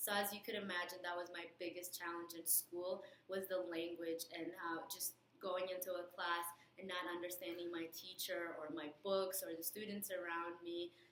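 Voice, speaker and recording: A woman speaks at a fairly low pitch. Her intonation is monotone and flat. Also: moderate pace. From outside US, moved in sixth grade. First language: not English. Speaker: nursing student, alumna. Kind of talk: recorded message with advice. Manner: hesitant, with fillers.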